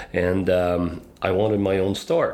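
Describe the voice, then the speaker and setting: A man with a Quebec accent speaks with a very deep, low pitch and fairly even intonation. Audible room echo and noticeable background noise fill the recording. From northwestern Quebec, then southern Ontario from 13. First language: French. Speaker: business consultant. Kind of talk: casual interview.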